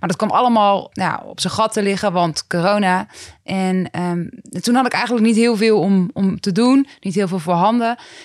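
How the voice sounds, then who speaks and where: The recording is very clean, with a silent background. A woman speaks at medium pitch and a moderate pace with ordinary pitch variation. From Netherlands, Groningen province. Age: 20s. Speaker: rapper and psychologist. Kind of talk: casual interview. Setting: office.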